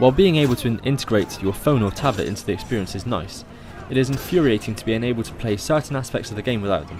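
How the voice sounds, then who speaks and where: With music in the background, a man in a southwest English accent talks very fast with lively intonation. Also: medium pitch for a man, big swings in loudness. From southwest England. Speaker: video game reviewer. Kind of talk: scripted review narration.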